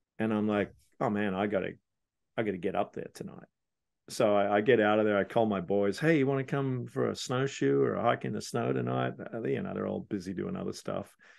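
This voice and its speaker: A man's fairly low-pitched voice with very wide pitch swings, at a fairly quick pace. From Australia, Sydney. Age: 60s. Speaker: business coach. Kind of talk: casual chat.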